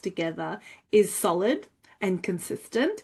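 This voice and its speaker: A woman's dark, mellow voice at a fairly slow pace over a quiet background. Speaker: finance educator. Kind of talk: tutorial.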